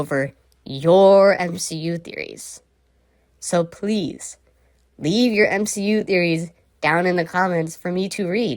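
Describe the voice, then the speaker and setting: This woman has a normal speaking voice with a fairly low pitch. She talks at a fairly slow pace. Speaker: podcast host. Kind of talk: casual chat.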